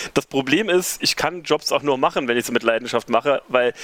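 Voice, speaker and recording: The man talks at a fairly quick pace with lively intonation. The sound is dry and close, with no echo. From Germany, Saarland (rural northern Saarland). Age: 40s. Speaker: event organiser. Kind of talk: casual interview.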